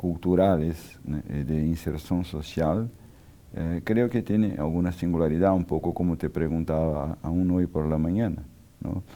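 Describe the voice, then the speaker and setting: With a very deep, low pitch and a dark, mellow tone, a man speaks fairly slowly in fairly even intonation. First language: Portuguese (speaking Spanish). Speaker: architect and urbanism scholar. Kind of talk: interview. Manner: halting, many fillers.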